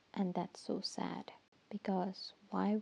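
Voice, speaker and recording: Quiet and very slow, a woman talks at medium pitch in a dark, mellow tone. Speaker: podcaster. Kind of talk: casual monologue. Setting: home at night. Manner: halting.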